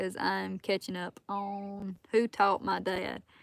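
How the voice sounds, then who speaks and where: Speaking with a Southern US accent, a woman uses a medium pitch. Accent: Southern US accent, noticeable. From South Alabama. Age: 20s. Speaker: outdoors hunting and fitness content creator. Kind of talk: live stream chat reading comments.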